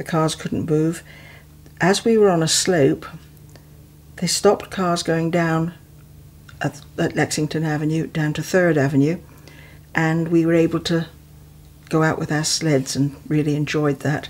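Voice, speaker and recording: A woman with an English accent and a very deep, low pitch speaks at a fairly slow pace, her intonation fairly even, with long, frequent pauses. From England (West Midlands); England. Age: 70s. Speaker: retiree recounting her life story; interviewee. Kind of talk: memoir narration over photos. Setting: home. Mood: reflective, warm reminiscing. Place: home room.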